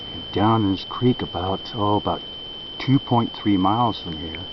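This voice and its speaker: Soft-spoken, a man talks as noticeable background noise carries on behind him. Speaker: Bigfoot researcher. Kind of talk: field video update. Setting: outdoors in woods by a creek. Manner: soft-spoken, keeping voice low.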